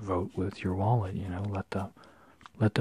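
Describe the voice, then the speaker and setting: Soft-spoken, the voice moves at a moderate pace. The sound is dry with no echo, over light background noise. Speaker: comic collector. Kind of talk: casual comic haul commentary. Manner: soft-spoken, quiet ASMR voice. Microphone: phone near.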